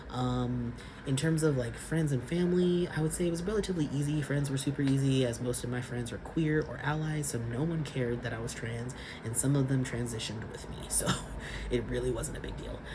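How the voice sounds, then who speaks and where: A man with a Californian accent talks at a fairly quick pace, his medium pitch showing ordinary variation. Noticeable background noise and audible room echo fill the recording. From California, Sacramento. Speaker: vlogger. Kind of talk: casual vlog monologue.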